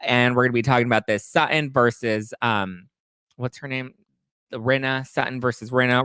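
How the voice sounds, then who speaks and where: An animated man's voice at medium pitch and a fairly quick pace, with a dry, close sound and no echo. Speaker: podcast host. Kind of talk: live stream recap. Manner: fast.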